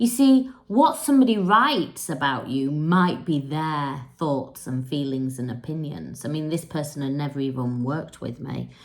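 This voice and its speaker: In an English accent, a woman with a very deep, low pitch talks with lively intonation and hardly any pauses. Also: moderate pace. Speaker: spiritual coach. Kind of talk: casual monologue to camera. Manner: unscripted, conversational.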